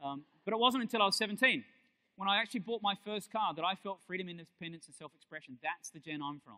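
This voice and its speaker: A high-pitched man with an Australian accent talks at a very fast pace, animated in tone with lively intonation. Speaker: keynote speaker, digital industry futurist. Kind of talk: keynote talk.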